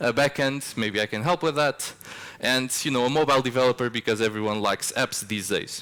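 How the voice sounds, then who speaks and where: A man with a Portuguese accent talks at a fairly quick pace in a medium pitch. His tone is bright and sharp, with ordinary pitch variation. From Portugal. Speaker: software developer, conference speaker. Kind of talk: conference talk. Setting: stage with audience. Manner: casual, with frequent filler words.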